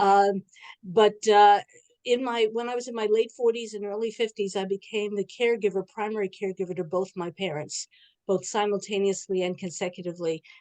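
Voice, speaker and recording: A woman's medium-pitched voice in a dark, mellow tone, at a fairly quick pace with fairly even intonation and a dry, close sound with no echo. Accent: New York. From New York City. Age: 70s. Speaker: social gerontologist. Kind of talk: online panel introduction. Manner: fast.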